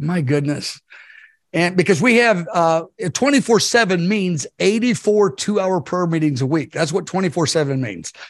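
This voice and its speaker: A man with a high pitch and lively intonation, at a fairly slow pace against a quiet background. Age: 60s. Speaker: ministry leader and preacher. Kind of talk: prophetic message in interview. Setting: video call.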